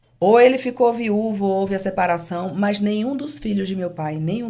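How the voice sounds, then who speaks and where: At a moderate pace, a woman speaks in a calm tone over noticeable background noise. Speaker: business owner. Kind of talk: interview.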